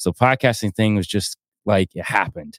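In an American accent, the speaker goes at a fairly quick pace with ordinary pitch variation, in a dry, close sound with no echo. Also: man. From US South, North Georgia mountains. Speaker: podcaster and musician. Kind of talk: casual interview chat.

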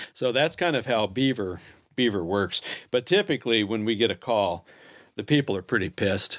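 A man speaks in an ordinary speaking voice with an American accent, medium pitch, lively intonation and a moderate pace. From Kansas City, US Midwest. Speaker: trapper. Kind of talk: casual chat. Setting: studio.

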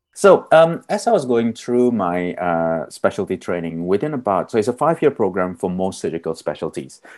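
Over a quiet background, a man with a fairly low pitch swings very widely in pitch, keeping a moderate pace with hardly any pauses. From Australia, Melbourne. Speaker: surgeon. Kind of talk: interview.

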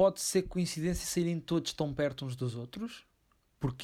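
In a very clean recording with a silent background, a man talks at a moderate pace with ordinary pitch variation, a normal speaking voice. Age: 20s. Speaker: film podcast co-host. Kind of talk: casual chat.

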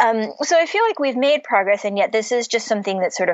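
Pitch swings very widely as this woman talks with an American accent. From US Midwest (Cleveland, Ohio). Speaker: novelist. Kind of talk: interview.

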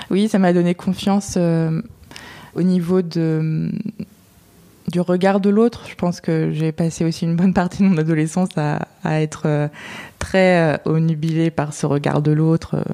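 Her voice is fairly low for a woman, with fairly even intonation and very even loudness. She speaks at a fairly slow pace with long, frequent pauses. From central France (Touraine). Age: 20s. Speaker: podcast guest sharing personal story. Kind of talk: personal testimony in interview. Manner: hesitant, many fillers.

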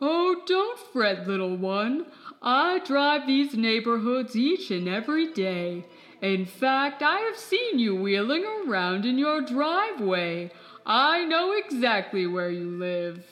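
A woman performs a put-on character voice, high in pitch. She moves at a fairly slow pace with very wide pitch swings. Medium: audio drama. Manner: warm, gentle, folksy.

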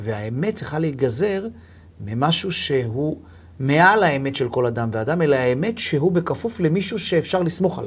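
The voice is somewhat breathy, moving at a moderate pace with very wide pitch swings. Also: man, fairly high pitch for a man. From Israel, Tel Aviv. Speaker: lawyer, co-host. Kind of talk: casual religious discussion. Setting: studio.

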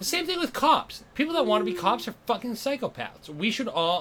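Over noticeable background noise, a man with an American accent speaks at a fairly quick pace. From Massachusetts. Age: 30s. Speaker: comedian. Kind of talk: casual chat.

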